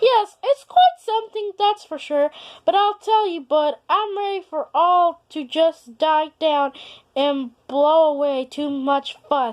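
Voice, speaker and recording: In a put-on character voice, a woman speaks at an extremely high pitch with lively intonation and a fairly slow pace. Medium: read story. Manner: reluctant, uneasy.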